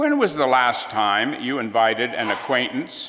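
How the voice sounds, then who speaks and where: There is audible room echo around a man whose voice sits at a fairly high pitch. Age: 80s+. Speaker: retired minister, guest preacher. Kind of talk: sermon. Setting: church.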